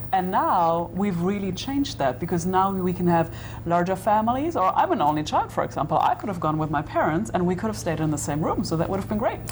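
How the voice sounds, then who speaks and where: Talking at a very fast pace with hardly any pauses, the speaker has a German accent, and the room echo is audible. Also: woman. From Germany. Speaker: tour guide. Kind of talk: interview.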